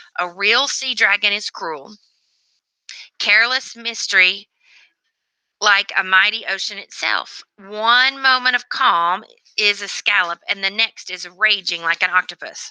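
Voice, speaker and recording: Putting on a character voice, a woman speaks fairly slowly at a medium pitch, sounding raspy and wheezy. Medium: read story. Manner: rambling, grandly philosophical.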